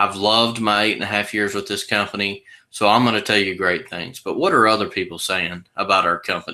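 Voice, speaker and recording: With a Texas accent, a man speaks fairly quickly at a fairly low pitch, his tone bright and sharp and his intonation fairly even, on a very clean recording with a silent background. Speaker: sales presenter for a legal plan company. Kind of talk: sales pitch.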